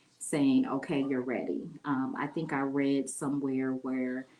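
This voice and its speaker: Over noticeable background noise, the speaker goes at a fairly slow pace with an American accent. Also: woman. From Ohio, Lima. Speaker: mayoral candidate. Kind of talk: interview. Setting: livestream.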